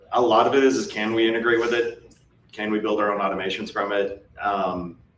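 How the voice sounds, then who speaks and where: Over noticeable background noise and audible room echo, a man speaks fairly quickly in a fairly low pitch with fairly even intonation. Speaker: MSP business owner presenting at a conference. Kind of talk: conference presentation. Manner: fast.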